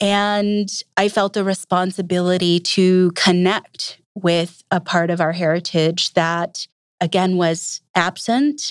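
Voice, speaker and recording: Speaking very slowly with an American accent, a woman at medium pitch keeps her loudness very even and her intonation fairly even, in a dry, close sound with no echo on a very clean recording with a silent background. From US Upper Midwest, Minnesota. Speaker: English professor. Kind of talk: interview.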